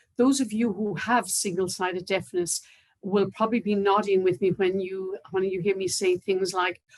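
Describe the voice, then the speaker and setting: A woman with an Irish accent at a moderate pace, ordinary pitch variation. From Ireland, near Waterford. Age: 60s. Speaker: cochlear implant recipient. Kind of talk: testimony. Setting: online video event.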